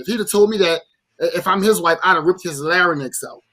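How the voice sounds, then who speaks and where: This raised, projected voice has a bright, sharp tone and lively intonation, with a New Orleans accent. The pace is fairly quick, on a very clean recording with a silent background. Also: man. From New Orleans, Louisiana. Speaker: podcast co-host. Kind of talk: casual chat. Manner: animated.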